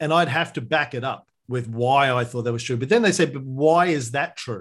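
A man with an Australian accent speaks at a moderate pace in a fairly high pitch with lively intonation against a quiet background. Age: 50s. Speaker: history podcaster. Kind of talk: interview conversation.

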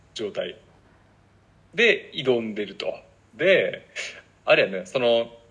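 A man with a Kansai accent at a fairly slow pace. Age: 30s. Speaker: podcast co-host. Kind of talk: casual chat.

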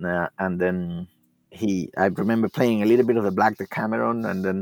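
A man with a Spanish accent, fairly low in pitch, with ordinary pitch variation and a moderate pace, in dry, close sound with no echo on a very clean recording with a silent background. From Cuba. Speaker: classical guitarist and teacher. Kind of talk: interview. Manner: halting.

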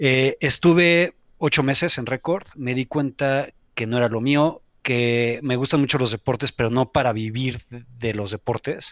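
A man speaks in a Mexico City accent at a fairly slow pace. His medium pitch shows ordinary variation, and the sound is dry and close with no echo. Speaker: sports entrepreneur. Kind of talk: casual chat.

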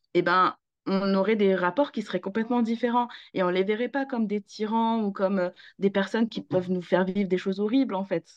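A woman speaks at a fairly quick pace in an unremarkable speaking voice, medium in pitch, with fairly even intonation. The sound is dry and close with no echo, and the background is quiet. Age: 30s. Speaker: parenting coach. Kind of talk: casual chat.

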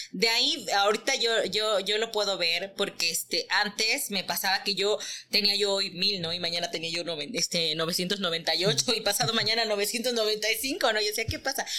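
At a fairly slow pace, a woman speaks in an unremarkable speaking voice with a medium pitch and ordinary pitch variation. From Mexico, Teziutlán, Puebla. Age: 30s. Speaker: textile artisan and entrepreneur. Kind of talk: interview.

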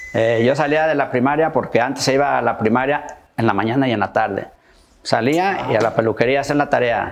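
Over noticeable background noise, a man talks at a fairly quick pace and medium pitch, with ordinary pitch variation and very even loudness. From Michoacán, Mexico. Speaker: barber. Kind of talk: interview. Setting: barbershop.

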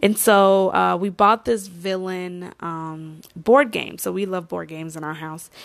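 Speaking fairly slowly with hardly any pauses, a woman with a fairly low pitch shows ordinary pitch variation and big swings in loudness against a quiet background. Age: 20s. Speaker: wellness podcast host. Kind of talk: casual monologue. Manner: hesitant with many fillers.

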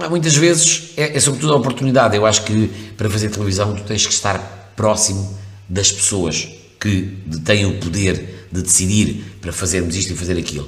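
A man speaks at a fairly low pitch. Audible room echo and noticeable background noise surround him. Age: 50s. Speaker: radio presenter. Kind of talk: interview conversation. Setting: radio studio. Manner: hesitant with fillers.

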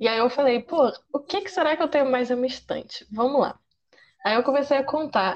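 A woman with a high pitch and ordinary pitch variation talks at a fairly quick pace. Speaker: manga columnist and psychology student. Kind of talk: casual chat.

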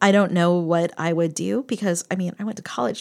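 A woman's unremarkable speaking voice, an unremarkable speaking voice with an American accent, on a very clean recording with a silent background. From eastern Pennsylvania (Bethlehem). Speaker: political science professor. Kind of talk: casual interview conversation.

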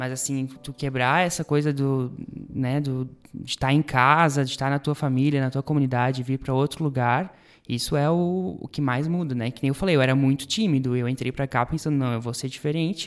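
A man's fairly high voice, a normal speaking voice, at a fairly quick pace with fairly even intonation, on a very clean recording with a silent background. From Benedito Novo, Santa Catarina, Brazil. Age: 20s. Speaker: former Bible course student. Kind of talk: casual chat.

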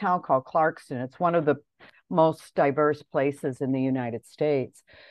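A woman with a Midwestern American accent and a very deep, low pitch. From US Midwest, Detroit area. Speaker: language teacher and poet. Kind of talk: interview.

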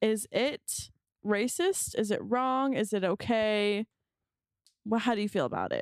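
With a Southern Californian accent, a woman talks at a fairly high pitch with ordinary pitch variation, the sound dry and close with no echo. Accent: Valley girl. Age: 20s. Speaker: podcast co-host. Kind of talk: casual chat.

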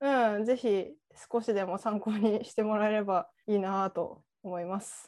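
A woman speaks at a fairly slow pace in a fairly high pitch, her intonation fairly even, in a normal speaking voice. The recording is very clean, with a silent background. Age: 30s. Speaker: podcast co-host. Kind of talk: casual chat.

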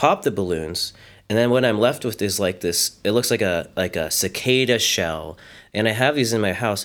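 With an American accent, a man speaks in a plain, everyday voice at a fairly low pitch, his pitch varying in an ordinary way on a very clean recording with a silent background. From US, Frederick, Maryland. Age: 30s. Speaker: art teacher and sculptor. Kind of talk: casual interview.

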